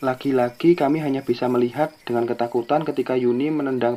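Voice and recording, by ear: A passage is being read aloud. It comes in a natural voice.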